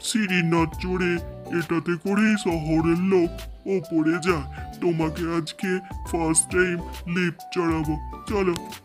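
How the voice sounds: Over clear music in the background, a man uses a cartoonish character voice at a high pitch and a fairly slow pace.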